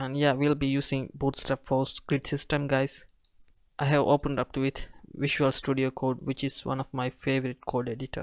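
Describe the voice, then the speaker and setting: In a non-native accent, a man speaks at a medium pitch and a moderate pace in a flat monotone. The sound is dry and close with no echo, on a very clean recording with a silent background. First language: not English. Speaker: web development tutorial creator. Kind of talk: coding tutorial. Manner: casual, hesitant.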